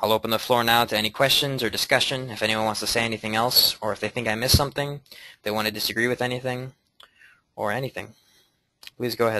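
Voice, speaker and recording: At a very fast pace broken by long, frequent pauses, a man with medium pitch speaks in a bright, sharp tone with monotone, flat intonation. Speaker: lecture presenter. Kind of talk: group discussion after lecture.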